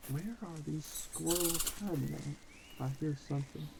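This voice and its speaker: Very slow speech in an American accent, with noticeable background noise. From US South. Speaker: gaming youtuber. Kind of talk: gameplay commentary. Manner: casual, animated.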